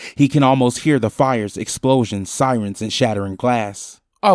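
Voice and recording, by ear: A person is reading aloud in a natural voice, pitch varying in an ordinary way, over a quiet background.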